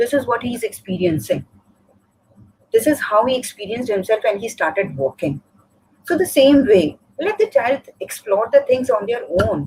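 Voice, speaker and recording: A woman speaks at a fairly high pitch with very wide pitch swings, some vocal fry, and long, frequent pauses. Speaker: school teacher. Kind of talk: live webinar talk. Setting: live online session. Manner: fast.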